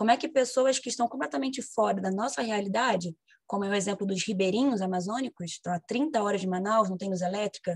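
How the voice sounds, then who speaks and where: A somewhat breathy woman's voice. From Brazil, Rio de Janeiro. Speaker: history teacher. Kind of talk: casual self-introduction; lecture.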